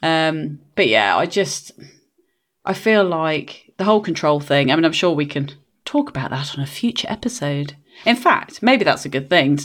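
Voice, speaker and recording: A woman speaks at a moderate pace with a very deep, low pitch. Her pitch swings very widely. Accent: English. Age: 40s. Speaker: podcast co-host, line manager. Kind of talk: casual chat. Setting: video call.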